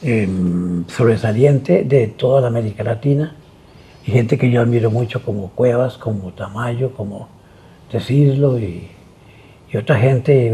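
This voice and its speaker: A dark, mellow tone carries lively intonation with a somewhat breathy quality. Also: man. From Costa Rica. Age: 80s+. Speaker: visual artist. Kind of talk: interview. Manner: halting.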